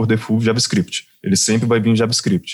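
The speaker has a plain, everyday voice and moves at a fairly quick pace. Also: man. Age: 20s. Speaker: software developer. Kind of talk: casual tech podcast discussion.

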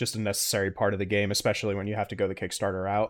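The man has a fairly low pitch and talks at a very fast pace. His intonation is monotone and flat. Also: very clean recording, silent background. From US South. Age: 30s. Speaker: podcast host. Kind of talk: interview.

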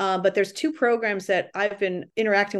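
Against a quiet background, a woman with an American accent speaks at a fairly quick pace in a normal speaking voice, medium in pitch, with fairly even intonation. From Massachusetts (Lawrence). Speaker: rowing coach and para program director. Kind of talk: interview.

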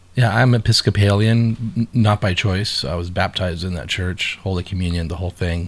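A somewhat breathy man's voice, fairly low in pitch, with ordinary pitch variation and a moderate pace. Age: 50s. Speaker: podcast co-host. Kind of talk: casual chat.

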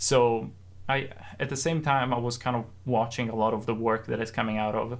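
A man at medium pitch with fairly even intonation, plus audible room echo. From Italy. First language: Italian. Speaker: sound designer. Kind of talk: casual interview.

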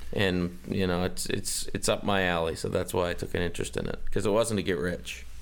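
In a Canadian accent, the speaker moves at a fairly quick pace with hardly any pauses, vocal fry and ordinary pitch variation. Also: man, very deep, low pitch for a man. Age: 40s. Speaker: sports author. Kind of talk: interview. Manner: conversational storytelling.

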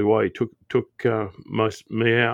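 A man with an Australian accent speaks at a fairly low pitch, his voice dry and close with no echo against a quiet background. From Australia, Sydney. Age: 50s. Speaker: airline pilot. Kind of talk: interview.

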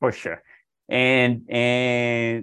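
A man with a Brazilian accent. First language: Portuguese. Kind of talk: interview. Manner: halting.

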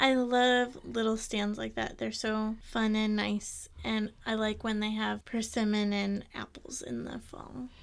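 Speaking in an American accent at a fairly slow pace with hardly any pauses, the voice comes through a very clean recording with a silent background. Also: woman. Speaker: podcast co-host. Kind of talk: casual chat.

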